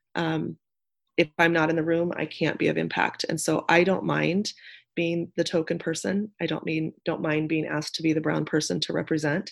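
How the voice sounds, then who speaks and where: A woman with a very deep, low pitch speaks in an American accent, with vocal fry. Her pace is moderate and her intonation fairly even, against a quiet background. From Nebraska, US Midwest. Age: 40s. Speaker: nonprofit community leader. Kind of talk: interview conversation.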